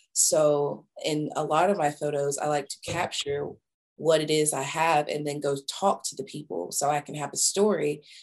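Vocal fry in a woman's very deep, low voice, moderately paced, with ordinary pitch variation. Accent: Southern US. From US South, small-town Georgia. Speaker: photographer and creative director. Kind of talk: interview, personal storytelling.

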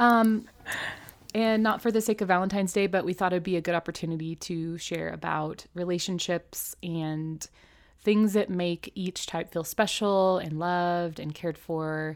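In an unremarkable speaking voice, a woman talks at a moderate pace and fairly low pitch with fairly even intonation, on a very clean recording with a silent background. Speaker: podcast co-host. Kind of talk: casual chat. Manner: laughs often, chatty.

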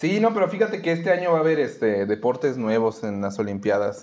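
At a very fast pace, a man speaks with a medium pitch and very wide pitch swings. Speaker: podcast co-host. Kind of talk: casual chat.

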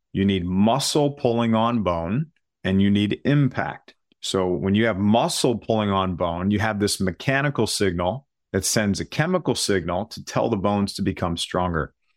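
Heard on a very clean recording with a silent background, a man has a plain, everyday voice, a fairly low pitch and ordinary pitch variation. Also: moderate pace. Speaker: bone health coach.

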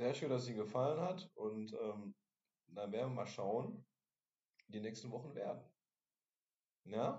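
A man at medium pitch speaks at a moderate pace, somewhat breathy and lively in intonation. He leaves long, frequent pauses. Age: 40s. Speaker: podcast host at a social day center. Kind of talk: casual chat.

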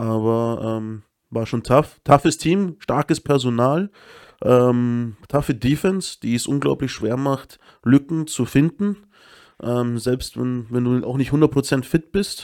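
Recorded very cleanly against a silent background, a man with a medium pitch and ordinary pitch variation speaks at a very slow pace, the sound dry and close with no echo. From Munich, Upper Bavaria. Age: 30s. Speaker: American football head coach. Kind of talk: casual interview chat.

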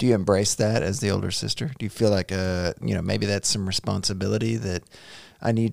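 A man's fairly low voice with a Southern US accent and fairly even intonation, on a very clean recording with a silent background. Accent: Southern US drawl. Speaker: podcast host, father. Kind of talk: casual chat. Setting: home studio.

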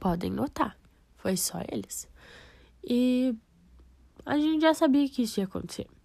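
A woman with a high, dark, mellow voice speaks fairly slowly with lively intonation and long, frequent pauses. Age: 20s. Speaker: nursing student. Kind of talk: personal podcast monologue.

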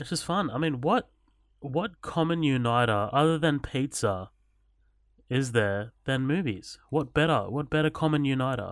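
An Australian accent from a man with a fairly high pitch, lively intonation and a moderate pace, in a very clean recording with a silent background. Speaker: podcast co-host. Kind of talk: casual chat. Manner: casual, filler-heavy.

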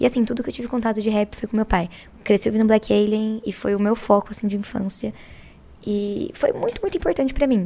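Noticeable background noise sits behind a woman with a fairly high pitch. She speaks fairly quickly, with fairly even intonation. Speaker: rapper, battle MC. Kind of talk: casual chat. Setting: studio.

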